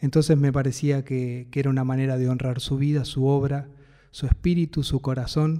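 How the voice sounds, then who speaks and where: The voice has a dark, mellow tone in a Buenos Aires accent. Its intonation is monotone and flat. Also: man. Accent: Rioplatense Spanish (Buenos Aires). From Buenos Aires city, Argentina. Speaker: singer-songwriter and music producer. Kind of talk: first-person narration about his music.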